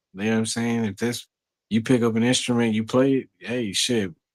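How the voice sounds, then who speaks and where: A man with a Southern US accent speaks at medium pitch. The recording is very clean, with a silent background. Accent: Southern drawl. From Texas. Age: 30s. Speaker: stoner chat panelist, graphic artist. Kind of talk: casual chat.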